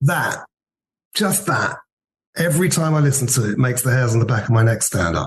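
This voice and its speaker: In a southern English accent, a man speaks at a moderate pace with a somewhat breathy voice. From Worthing, southern England. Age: 50s. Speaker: former band manager, music fan. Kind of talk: interview.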